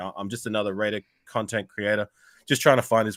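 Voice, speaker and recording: A man in an Australian accent at a fairly low pitch, on a very clean recording with a silent background. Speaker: sports YouTuber, panel guest. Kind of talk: casual podcast chat. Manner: halting, many fillers and repeats.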